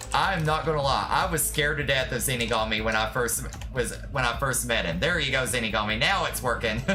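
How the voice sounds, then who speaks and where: A man with a Southern US accent at a fairly quick pace, hardly any pauses and very even loudness, with audible room echo and music in the background. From Tennessee backwoods. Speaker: streamer. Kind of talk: casual chat. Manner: animated.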